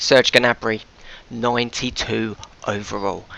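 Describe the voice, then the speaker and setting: A man speaks over noticeable background noise. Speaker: gaming YouTuber. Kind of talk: gameplay commentary. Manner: fast.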